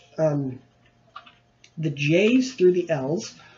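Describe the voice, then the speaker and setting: There is noticeable background noise. Over it, a man talks with lively intonation. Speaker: movie reviewer. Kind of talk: casual collection showcase monologue. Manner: casual, animated.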